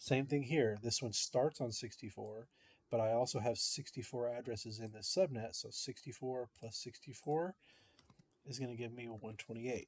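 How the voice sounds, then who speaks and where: A man speaks at a moderate pace, his voice somewhat breathy. His loudness swings widely. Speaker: teacher. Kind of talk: tutorial.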